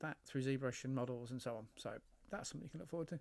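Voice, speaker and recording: With an English accent, a man speaks with ordinary pitch variation. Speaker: hobby model builder and game designer. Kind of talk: casual build commentary. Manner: rambling, hesitant.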